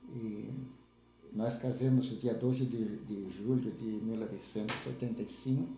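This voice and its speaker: A man's dark, mellow, somewhat breathy voice at a medium pitch, fairly slow and fairly even in intonation, with audible room echo. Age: 70s. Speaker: retired farmer and lay church leader. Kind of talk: interview, life story. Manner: halting, with fillers and repetitions.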